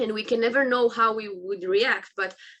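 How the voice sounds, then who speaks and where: With an Israeli accent, a woman speaks at a moderate pace and a fairly high pitch. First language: Hebrew. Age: 20s. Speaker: army reservist and motivational speaker. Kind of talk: interview. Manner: halting.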